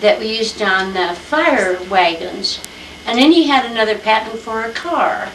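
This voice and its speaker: Amid noticeable background noise and audible room echo, a woman with an American accent speaks at medium pitch and a fairly slow pace. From Iowa, US Midwest. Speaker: grandmother telling family history. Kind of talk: family history interview. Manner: halting, many filler words.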